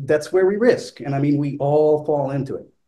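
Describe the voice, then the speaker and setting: Dark and mellow in tone, a man's somewhat breathy voice sits at a fairly high pitch with ordinary pitch variation. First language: not English. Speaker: flutist. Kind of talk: panel discussion. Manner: hesitant, many fillers.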